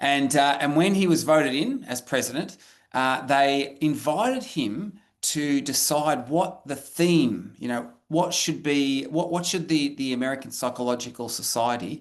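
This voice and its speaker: A man with an Australian accent, a fairly high pitch, a fairly slow pace and ordinary pitch variation, against a quiet background. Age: 50s. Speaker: professor. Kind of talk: webinar lecture. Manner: halting, many fillers.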